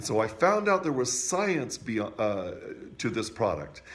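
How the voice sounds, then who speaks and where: Through audible room echo, a man of medium pitch speaks at a fairly slow pace with very wide pitch swings. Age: 60s. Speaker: music teacher sharing product testimony. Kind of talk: testimony. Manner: halting, frequent fillers.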